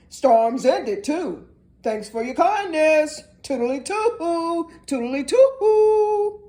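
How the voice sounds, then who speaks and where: A woman's put-on character voice, squeaky and extremely high, with very wide pitch swings at a very slow pace. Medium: read story. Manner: breezy, clipped.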